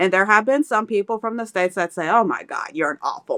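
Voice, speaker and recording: A woman with an American accent speaks in a fairly high pitch with a bright, sharp tone. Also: dry, close sound with no echo. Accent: slight country. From Kentucky, US. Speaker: expat mom. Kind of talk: casual chat.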